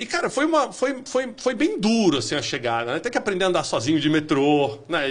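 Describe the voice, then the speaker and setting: The speech moves at a fairly quick pace with hardly any pauses and very wide pitch swings. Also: man, high pitch for a man. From Minas Gerais, Brazil (zona da mata), moved to São Paulo at 10. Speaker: business executive. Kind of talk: podcast interview.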